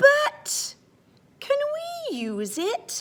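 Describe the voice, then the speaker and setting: In a put-on character voice, a woman squeaks at an extremely high pitch with very wide pitch swings. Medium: read story. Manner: cheerful, unflappable.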